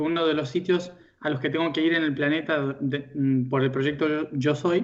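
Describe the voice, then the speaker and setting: A man speaks at a moderate pace with a fairly high pitch. His intonation is fairly even. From Argentina. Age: young. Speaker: spiritual teacher. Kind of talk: interview. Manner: hesitant, many fillers.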